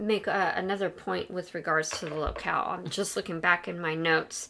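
Hardly any pauses break up this woman's speech. Her pace is moderate. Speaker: podcast co-host and pop culture scholar. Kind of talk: casual discussion of a film.

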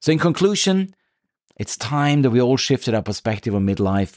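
A man's voice comes through with a dry, close sound, no echo, and a quiet background. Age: 50s. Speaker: podcast host and midlife coach. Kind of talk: solo podcast monologue. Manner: hesitant with fillers.

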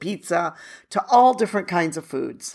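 A plain, everyday voice speaks at a moderate pace with an American accent and ordinary pitch variation. The recording is very clean, with a silent background. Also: woman. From United States. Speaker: podcast host. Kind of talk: solo podcast monologue. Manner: conversational.

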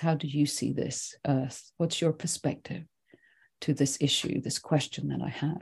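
With a Swedish accent, a woman speaks at a moderate pace in a very deep, low pitch and a dark, mellow tone. Her intonation is fairly even, and the background is quiet. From Sweden, then England and Scotland from age eleven. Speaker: writing teacher and nature awareness teacher. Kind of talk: podcast interview.

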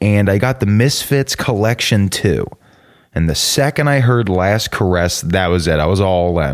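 A man with an American accent speaks at a moderate pace with lively intonation and very even loudness. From US South, suburban Atlanta, Georgia. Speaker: podcast host. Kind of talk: casual personal monologue.

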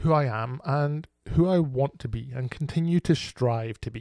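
In a very clean recording with a silent background, a man speaks in a dark, mellow tone with a dry, close sound and no echo. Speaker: podcast host. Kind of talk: solo podcast monologue on trauma recovery.

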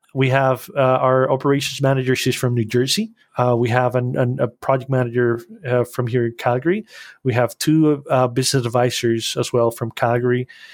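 Speaking fairly quickly with a Spanish accent, the man keeps a medium pitch, fairly even intonation and very even loudness. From Costa Rica. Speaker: animation studio founder. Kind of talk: interview. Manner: halting.

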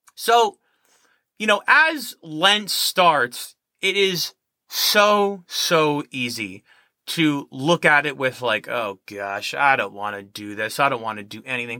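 At a very slow pace, a man with a fairly high pitch and bright, sharp tone speaks with very wide pitch swings and big swings in loudness. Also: very clean recording, silent background. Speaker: podcast host. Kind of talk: casual solo podcast monologue. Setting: small closet recording space.

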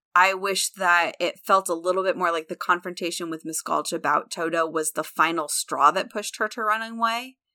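With an American accent, a woman speaks at a fairly quick pace and medium pitch, with hardly any pauses. Her tone is bright and sharp, and the recording is very clean with a silent background. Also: ordinary pitch variation, dry, close sound with no echo. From US Midwest, central Illinois. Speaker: podcast co-host and theater teacher. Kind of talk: casual chat.

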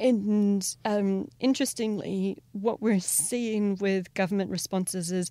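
With a New Zealand accent, a woman talks at a fairly slow pace, her medium-pitched voice dark and mellow in tone. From New Zealand, Taranaki region. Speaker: lawyer. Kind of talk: interview. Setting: on the sidelines of a conference. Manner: halting, many fillers.

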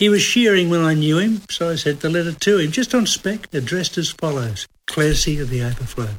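Speech comes at a fairly quick pace in an Australian accent, with hardly any pauses. The intonation is lively. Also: man, fairly high pitch for a man. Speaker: podcast host and comedy writer. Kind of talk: casual chat.

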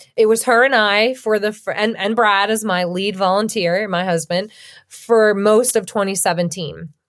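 An unremarkable speaking voice from a woman with an American accent, medium in pitch, fairly even in intonation and moderate in pace, in a very clean recording with a silent background. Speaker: state legislator. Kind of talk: interview.

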